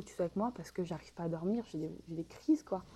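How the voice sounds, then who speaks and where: This woman's voice has a dark, mellow tone at a medium pitch. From Paris region, France. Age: 20s. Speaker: podcast guest sharing love life. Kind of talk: personal testimony in interview. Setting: remote recording from home.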